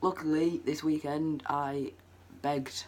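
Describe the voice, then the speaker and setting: A man with a Lancashire accent speaks with fairly even intonation. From northwest England, Preston. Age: young. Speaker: vlogger. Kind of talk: personal story vlog. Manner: casual, hesitant with many ums.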